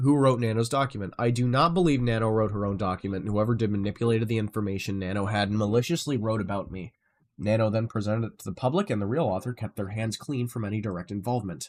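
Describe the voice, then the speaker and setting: A man talks at a very fast pace, his pitch fairly low with ordinary variation. The recording is very clean with a silent background. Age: 20s. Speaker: live streamer. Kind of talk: reading aloud with commentary on a live stream. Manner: casual, reactive asides between read passages.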